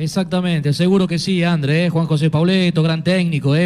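This man has an unremarkable speaking voice. He moves at a fairly quick pace with fairly even intonation. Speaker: sports radio host. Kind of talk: radio sports show. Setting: remote broadcast from a sports club.

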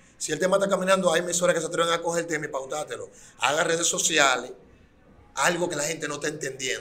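This man's high-pitched voice has a bright, sharp tone and fairly even intonation, and he talks at a very fast pace. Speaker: urban music artist. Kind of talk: interview.

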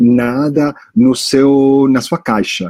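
At a very slow pace, a man speaks in a medium pitch with a dark, mellow tone. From US, New York, Italian family. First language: English and Italian (speaking Portuguese). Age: 40s. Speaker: startup founder. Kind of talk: interview. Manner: hesitant, many fillers.

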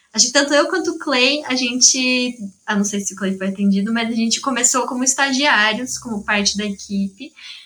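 A high-pitched woman at a fairly quick pace. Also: ordinary pitch variation. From São Carlos, Brazil. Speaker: psychology graduate, study-support volunteer. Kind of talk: casual interview chat.

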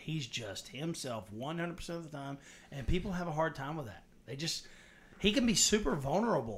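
This man's voice carries vocal fry and moves through very wide pitch swings. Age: 40s. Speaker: podcast host, Army National Guard veteran. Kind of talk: casual chat. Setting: small home studio room.

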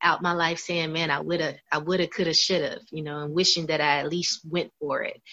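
Her voice bright and sharp, a woman speaks with a Southern US accent in a fairly low pitch and fairly even intonation. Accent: Southern American English. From US South (Kentucky, Florida). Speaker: singer and author. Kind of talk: interview.

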